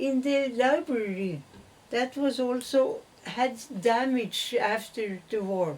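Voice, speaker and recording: A woman with a Norwegian accent speaks very slowly in a high voice, her pitch varying in an ordinary way. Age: 90s. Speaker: great-grandmother. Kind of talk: interview answer.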